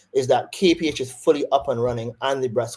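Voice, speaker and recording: A man with a Barbadian accent talks at a fairly quick pace in a medium pitch. His tone is dark and mellow, somewhat breathy, with ordinary pitch variation. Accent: Barbadian, doesn't sound Jamaican. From Barbados. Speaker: surgeon. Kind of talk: interview on a webinar.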